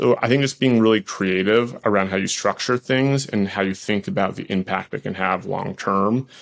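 A man's fairly quick, ordinary speaking voice with an American accent and ordinary pitch variation. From Boston, US. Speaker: tech company executive. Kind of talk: interview.

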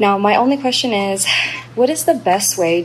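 Against noticeable background noise, a woman with an American accent talks at a medium pitch with lively intonation. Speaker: caller, new mom starting a business. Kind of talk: recorded listener question.

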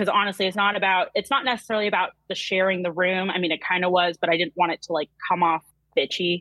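At a very fast pace, a woman speaks with medium pitch and fairly even intonation. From New Hampshire. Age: 20s. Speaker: caller. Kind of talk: casual chat.

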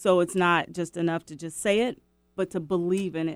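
A woman's ordinary speaking voice, fairly low-pitched, with an American accent and fairly even intonation, on a very clean recording with a silent background. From US Pacific Northwest, West Seattle. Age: 50s. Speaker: author and recovery coach. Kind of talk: testimony.

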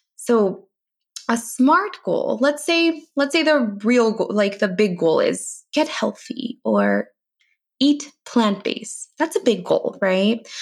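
Speaking very slowly, a woman with an American accent has a high pitch, very wide pitch swings and very even loudness. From US, East Bay, California. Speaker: registered dietitian. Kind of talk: interview.

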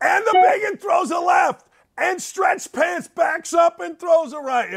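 Shouting in a put-on character voice, a man hits an extremely high pitch at a fairly slow pace.

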